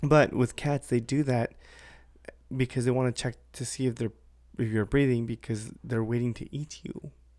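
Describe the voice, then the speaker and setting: A man's medium-pitched voice at a moderate pace, with flat, monotone intonation. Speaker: podcast host. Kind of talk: casual chat. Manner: careful enunciation.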